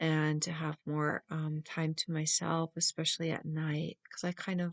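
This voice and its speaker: Soft-spoken, a woman talks at a fairly slow pace in a fairly low pitch. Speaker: tarot reader. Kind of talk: tarot reading.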